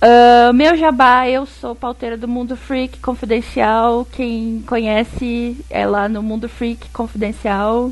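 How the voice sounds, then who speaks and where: Over noticeable background noise, a woman speaks very slowly with hardly any pauses. Her intonation is monotone and flat. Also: fairly high pitch for a woman. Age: 30s. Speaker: designer and podcaster. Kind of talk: casual chat.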